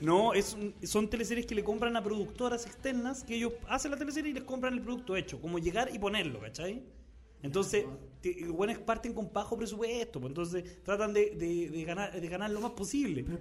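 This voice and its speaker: Over noticeable background noise, a man with a Chilean accent talks at a fairly quick pace, his high pitch carrying lively intonation. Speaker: comedian and podcast host. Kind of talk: casual comedic chat. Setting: studio.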